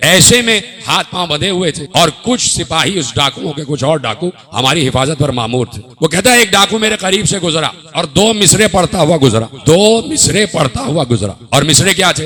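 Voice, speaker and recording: A man talks at a fairly slow pace with fairly high pitch and very wide pitch swings. Noticeable background noise is present. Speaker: Shia cleric / religious orator. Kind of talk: religious sermon (majlis). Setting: religious gathering with live audience.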